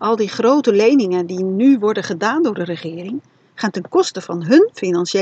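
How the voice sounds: Lively intonation colors this natural reading voice.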